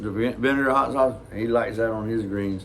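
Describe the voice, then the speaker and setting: A man speaks with a Southern US accent at a medium pitch. His intonation stays fairly even, and audible room echo surrounds the voice. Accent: Southern drawl. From US South. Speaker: reaction video host. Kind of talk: casual chat.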